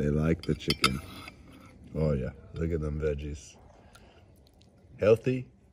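At a fairly slow pace, a man talks while noticeable background noise carries on behind him. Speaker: travel food vlogger. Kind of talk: casual vlog chat. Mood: enthusiastic, appreciative. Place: cafe. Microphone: phone near.

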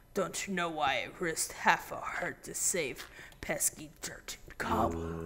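The speaker whispers in a put-on character voice. The pace is fairly slow. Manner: dramatic, gloating, theatrical.

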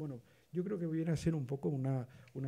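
The voice is somewhat breathy with a dark, mellow tone. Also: man. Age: 60s. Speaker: photography historian, panelist; panelist. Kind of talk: roundtable discussion. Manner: halting, many repetitions. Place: hall. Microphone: podium.

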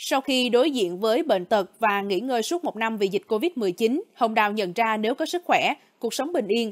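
On a very clean recording with a silent background and a dry, close sound with no echo, a woman with a plain, everyday voice speaks at a moderate pace, fairly high in pitch and lively in intonation. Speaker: news narrator. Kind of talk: news reading.

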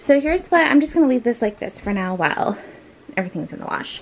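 A woman's voice with very wide pitch swings and light background noise. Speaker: home vlogger. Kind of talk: casual vlog chat. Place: home room. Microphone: phone near.

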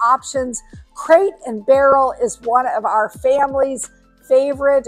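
A woman speaks in a high voice at a fairly slow pace. Faint music plays in the background. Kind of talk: promotional vlog walkthrough. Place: shop. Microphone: lapel.

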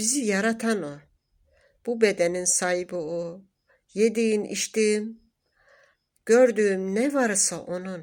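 Recorded very cleanly with a silent background, a woman speaks very slowly with long, frequent pauses and big swings in loudness. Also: medium pitch for a woman, ordinary pitch variation. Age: 60s. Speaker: spiritual group member. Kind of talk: testimony; sermon.

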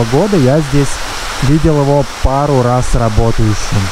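A man speaks in a dry recording with no echo, though there is noticeable background noise. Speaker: travel vlogger. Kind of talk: casual vlog chat. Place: street. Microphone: phone near.

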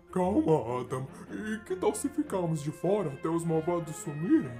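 Putting on a character voice, a man speaks at a high pitch and a moderate pace with clear music in the background. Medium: fan dub. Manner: timid, pleading.

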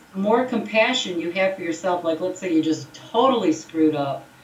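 Speaking at a very fast pace, a woman shows ordinary pitch variation. Noticeable background noise runs behind her. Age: 50s. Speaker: gossip researcher and speaker. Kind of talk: casual chat.

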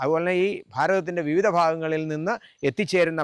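In a very clean recording with a silent background, a man with a normal speaking voice talks at a fairly high pitch with fairly even intonation. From Kerala, Kottayam district (Amanakara, Ramapuram). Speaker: temple committee member and religious preacher. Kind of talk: on-location interview. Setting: outdoors at a temple.

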